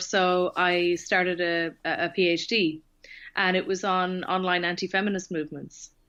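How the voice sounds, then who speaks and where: Against a quiet background, a woman speaks at medium pitch. Her tone is bright and sharp. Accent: slight Irish. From Ireland, Tipperary. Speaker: author and researcher. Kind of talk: podcast interview. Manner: hesitant with many fillers.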